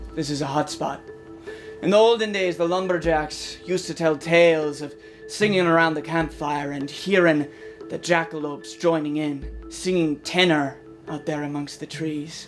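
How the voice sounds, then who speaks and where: Over clear music in the background, a man does a put-on character voice at a fairly high pitch and moderate pace. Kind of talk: mockumentary interview answer. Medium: stage. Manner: gruff, deadpan, folksy.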